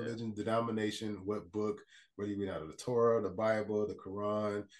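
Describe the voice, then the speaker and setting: A fairly low-pitched man's voice with an American accent. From Port Arthur, Texas. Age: 40s. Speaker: life coach and motivational speaker. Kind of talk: casual podcast interview.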